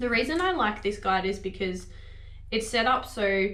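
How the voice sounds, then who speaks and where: Through audible room echo and noticeable background noise, a woman speaks at a medium pitch with an Australian accent. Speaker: vlogger. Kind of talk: casual vlog talk. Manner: fast; animated.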